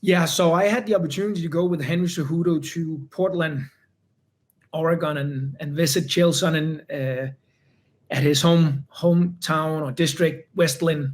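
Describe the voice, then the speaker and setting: The man's voice is fairly high and his intonation fairly even. He speaks at a moderate pace. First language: not English. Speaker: UFC fighter. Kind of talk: interview. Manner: halting, many repeated words.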